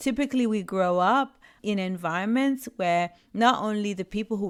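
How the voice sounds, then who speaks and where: On a very clean recording with a silent background, a woman with a Spanish accent speaks at a fairly slow pace with medium pitch and ordinary pitch variation. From Puerto Rico. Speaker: leadership coach and podcast host. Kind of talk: podcast monologue.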